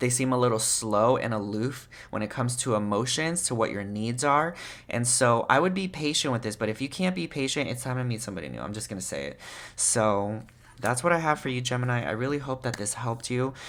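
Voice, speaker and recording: A man's medium-pitched voice at a fairly quick pace with ordinary pitch variation. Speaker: tarot reader. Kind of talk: tarot reading video. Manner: fast; casual.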